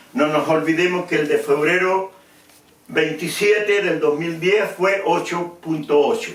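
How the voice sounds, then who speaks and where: Over noticeable background noise, a man with a high pitch speaks at a fairly slow pace. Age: 70s. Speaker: preacher. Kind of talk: sermon.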